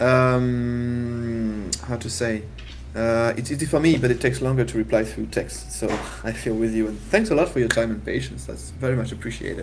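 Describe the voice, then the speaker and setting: A man with a French accent at a moderate pace, with audible room echo and noticeable background noise. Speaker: game jam livestream host. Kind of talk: casual livestream chat.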